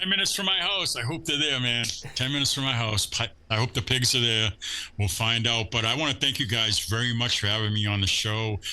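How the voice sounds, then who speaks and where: Amid noticeable background noise, a man with an American accent talks at a fairly quick pace and medium pitch, with lively intonation and very even loudness. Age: 60s. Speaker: surf fishing angler and lure maker. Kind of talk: casual chat. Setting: podcast interview. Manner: animated.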